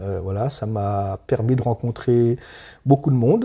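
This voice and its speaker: A man's medium-pitched, dark, mellow voice, somewhat breathy, with ordinary pitch variation on a very clean recording with a silent background. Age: 60s. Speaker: farmer. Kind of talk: interview. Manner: halting.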